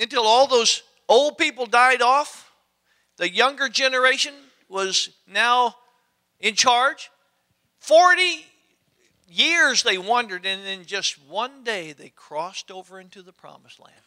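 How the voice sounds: Speaking slowly, a man uses an extremely high pitch, a bright, sharp tone and lively intonation.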